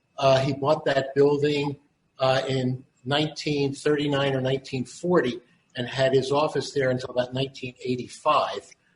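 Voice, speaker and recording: Speaking at a moderate pace, a man with a Philadelphia accent has a fairly high pitch and monotone, flat intonation. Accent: Philadelphia American. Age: 70s. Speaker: son of a prison doctor. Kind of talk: recounting family history. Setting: video call. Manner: halting.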